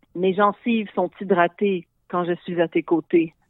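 The speaker is a woman. Her pitch is medium. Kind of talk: casual chat.

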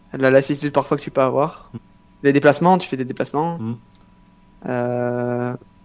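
Over noticeable background noise, a man at a medium pitch speaks at a moderate pace with fairly even intonation and long, frequent pauses. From southwest France (Pau). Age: 20s. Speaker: professional esports player. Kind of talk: interview. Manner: halting.

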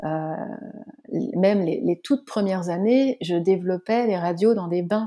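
Her tone dark and mellow, a woman speaks at a very slow pace with ordinary pitch variation. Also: medium pitch for a woman. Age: 40s. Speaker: web developer and former photographer. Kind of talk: casual interview.

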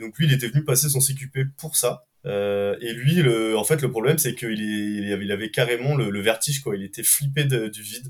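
A man with an ordinary speaking voice, medium pitch, and fairly even intonation. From France, Ardèche. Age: 20s. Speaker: rope access technician. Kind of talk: casual interview chat.

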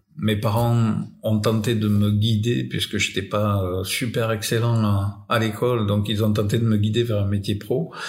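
Audible room echo surrounds a very slow delivery. The loudness stays very even and the intonation fairly even. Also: man. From France. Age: 60s. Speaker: electrician. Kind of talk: casual chat. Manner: halting.

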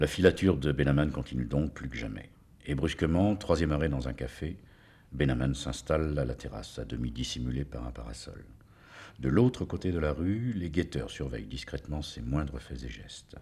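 A man speaks with a very deep, low pitch and vocal fry. His tone is dark and mellow. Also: ordinary pitch variation, moderate pace. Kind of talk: true-crime narration, gripping storytelling of a assassination. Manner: measured, suspenseful, building tension with short clipped sentences.

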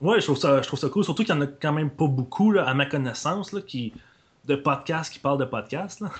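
Somewhat breathy, a man talks at a fairly quick pace with a fairly high pitch. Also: ordinary pitch variation, big swings in loudness. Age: 20s. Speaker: podcaster. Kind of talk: casual chat.

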